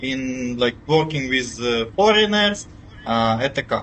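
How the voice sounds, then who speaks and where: There is noticeable background noise. A man speaks with a fairly high pitch. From Ukraine. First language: Ukrainian or Russian. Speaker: IT worker. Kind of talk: interview. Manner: halting, many fillers.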